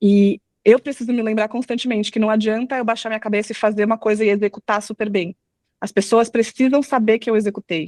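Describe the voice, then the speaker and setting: A woman talks at a fairly quick pace in a fairly high pitch, an unremarkable speaking voice. Her intonation is fairly even, and the sound is dry and close with no echo. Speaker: product marketing manager. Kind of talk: live webinar talk.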